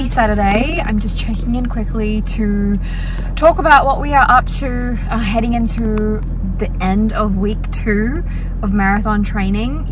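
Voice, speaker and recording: A woman at a fairly slow pace, dry sound with no echo, noticeable background noise. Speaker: vlogger. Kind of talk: casual vlog chat. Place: car. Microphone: phone near.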